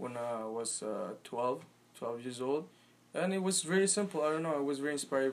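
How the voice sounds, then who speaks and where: Talking at a very fast pace, a man with a fairly high pitch uses lively intonation. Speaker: poet and musician. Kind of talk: casual interview chat. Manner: halting, searching for words.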